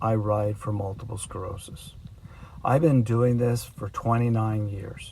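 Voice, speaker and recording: At medium pitch and a fairly slow pace, a man talks in an unremarkable speaking voice. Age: 60s. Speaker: long-distance cyclist. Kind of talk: documentary narration; video diary.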